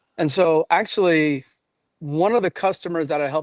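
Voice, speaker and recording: This man talks at a moderate pace with a fairly high pitch and ordinary pitch variation, recorded in a dry, close sound with no echo. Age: 60s. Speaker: real estate investor. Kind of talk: webinar interview. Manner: hesitant, many fillers.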